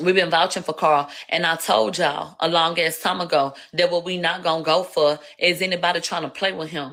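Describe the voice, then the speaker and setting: A woman with a Houston accent speaks at a moderate pace in a bright, sharp tone. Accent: Houston twang. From Houston, Texas. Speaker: livestreamer, commentator. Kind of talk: live stream commentary. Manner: slurred speech; casual, profane.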